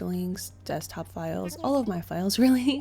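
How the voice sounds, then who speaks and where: A woman speaking at a moderate pace over music in the background. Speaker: gaming vlogger. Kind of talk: personal vlog.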